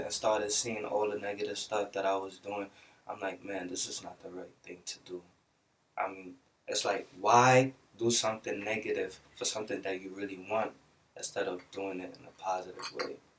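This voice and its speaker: With a Belizean accent, a man of fairly low pitch talks at a moderate pace in fairly even intonation, his loudness swinging widely. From Brooklyn, New York City. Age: young. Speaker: musician. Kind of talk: interview.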